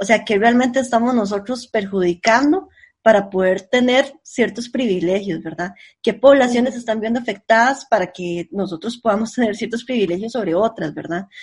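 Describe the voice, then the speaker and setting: A woman talks at a moderate pace in a fairly high pitch with ordinary pitch variation. Her voice is somewhat breathy over a quiet background. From Costa Rica, central San José. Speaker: podcast co-host. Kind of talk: casual chat.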